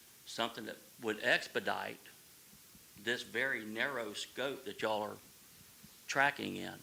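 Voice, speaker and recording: A man with a Southern US accent at a fairly slow pace. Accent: Southern US (Georgia). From coastal Georgia, US South. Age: 60s. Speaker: recreational fisherman at public meeting. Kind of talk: public comment at town hall. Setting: town hall meeting.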